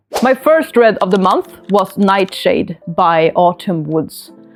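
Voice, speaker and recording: Speaking at a fairly slow pace, a woman with a Swedish accent makes very wide pitch swings. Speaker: book vlogger. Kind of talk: casual book review vlog. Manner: hesitant, many fillers.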